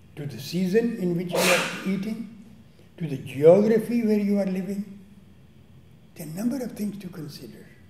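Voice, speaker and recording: Long, frequent pauses mark the speech over noticeable background noise. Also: moderate pace. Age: 80s+. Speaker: meditation teacher. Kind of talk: lecture.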